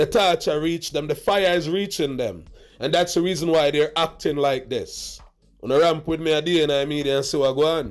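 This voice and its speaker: A man talks at a fairly quick pace in a fairly high pitch with ordinary pitch variation. The recording is very clean, with a silent background. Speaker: dancehall commentary vlogger. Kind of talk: reaction commentary. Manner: loud and emphatic.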